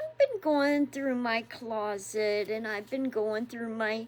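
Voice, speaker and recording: The pace is very slow. A woman speaks at a fairly high pitch with ordinary pitch variation. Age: 60s. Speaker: devotional vlogger. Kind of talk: casual devotional talk.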